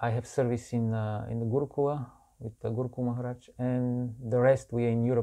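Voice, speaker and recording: Over a quiet background, a man with a Bulgarian accent, a medium pitch, and a dark, mellow tone speaks at a fairly quick pace in a monotone, flat intonation. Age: 40s. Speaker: monk and preacher. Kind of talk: interview.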